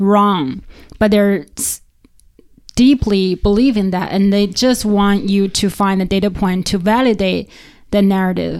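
A woman with a Chinese accent speaks at a medium pitch. Her pace is fairly slow. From China. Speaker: podcast host, data scientist. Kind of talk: casual interview.

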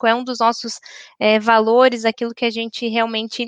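Speaking at a moderate pace, a woman with a fairly high pitch has an unremarkable speaking voice, recorded dry and close with no echo. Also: quiet background. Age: 30s. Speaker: corporate diversity and HR professional. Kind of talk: panel discussion.

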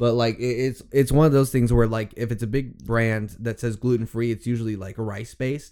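The man talks fairly quickly in a dark, mellow tone. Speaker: podcast co-host. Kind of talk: casual chat. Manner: casual, laughing.

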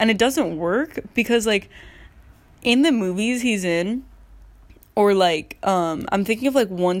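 On a very clean recording with a silent background, a woman speaks in a normal speaking voice at medium pitch, moderate pace and ordinary pitch variation. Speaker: solo podcaster. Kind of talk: casual monologue.

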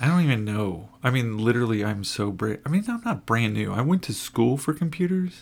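Moving at a fairly quick pace, a man in an American accent makes very wide pitch swings. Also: medium pitch for a man. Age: 40s. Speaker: podcast co-host, forklift driver. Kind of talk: casual chat. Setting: home recording late at night.

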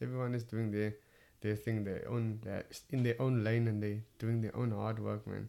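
A man's medium-pitched, dark, mellow voice in a Cape Town accent, monotone and flat, at a moderate pace. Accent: Cape Town South African English. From Cape Town, South Africa. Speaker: stand-up comedian. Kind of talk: casual interview chat.

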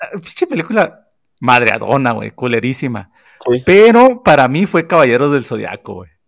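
A man's fairly high voice with vocal fry and very wide pitch swings, at a moderate pace. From Sonora, northern Mexico. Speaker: podcast co-host, film commentator. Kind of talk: casual chat.

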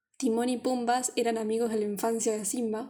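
A woman with a Rioplatense accent speaks in a dark, mellow tone. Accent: Argentine Spanish (rioplatense). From Argentina. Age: 20s. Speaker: podcast co-host. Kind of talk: casual chat.

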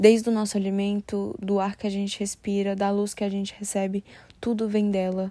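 At a moderate pace, a woman speaks at a medium pitch in a dark, mellow tone with monotone, flat intonation. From Brasília, Brazil. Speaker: podcaster. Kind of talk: solo reflective monologue.

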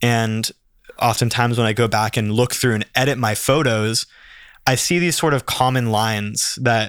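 In a very clean recording with a silent background and a dry, close sound with no echo, a man with an ordinary speaking voice talks at medium pitch and a moderate pace with fairly even intonation. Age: 20s. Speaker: photographer. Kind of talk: casual chat.

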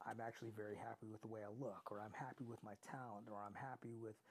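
This man has a fairly low pitch and an unremarkable speaking voice. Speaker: podcast host. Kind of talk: solo motivational podcast monologue. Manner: conversational, motivating.

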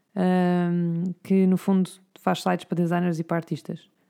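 A woman is heard in a very clean recording against a silent background. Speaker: podcast co-host. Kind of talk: casual chat.

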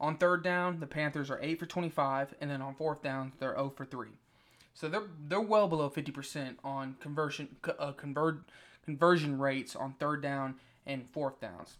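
Recorded very cleanly against a silent background, a man with an American accent and an unremarkable speaking voice talks at a moderate pace, fairly high in pitch, with ordinary pitch variation. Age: young. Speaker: sports podcast host. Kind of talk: solo sports commentary podcast. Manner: casual, many fillers.

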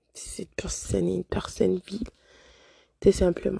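A woman speaks. The sound is dry and close, with no echo. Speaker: podcast host. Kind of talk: motivational monologue. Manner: hesitant, many fillers.

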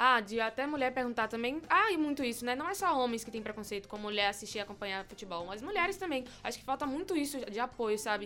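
Very fast speech with hardly any pauses and lively intonation, over noticeable background noise. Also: woman, high pitch for a woman. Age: young. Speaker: podcast co-host. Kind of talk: casual chat.

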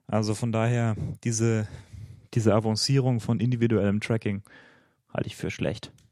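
A man with a slight Bavarian accent speaks at a moderate pace in a dark, mellow tone and monotone, flat intonation. He leaves long, frequent pauses, and the recording is very clean with a silent background. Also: medium pitch for a man. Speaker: podcast co-host. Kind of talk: casual chat.

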